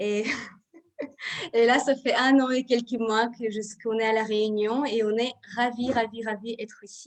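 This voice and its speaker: The speaker has a non-native accent and a very slow pace. Intonation stays fairly even. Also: woman. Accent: foreign accent, clearly audible. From Israel. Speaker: Ayurveda therapist and trainer. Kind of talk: live video interview.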